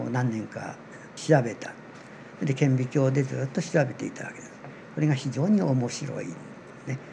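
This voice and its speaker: A man speaks at a moderate pace with lively intonation, big swings in loudness and long, frequent pauses over noticeable background noise. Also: medium pitch for a man. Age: 80s+. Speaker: amateur seaweed researcher. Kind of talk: interview explanation.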